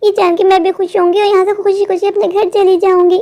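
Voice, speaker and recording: In a cartoonish character voice, a woman speaks very fast at an extremely high pitch, with very even loudness and monotone, flat intonation. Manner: emotional, earnest.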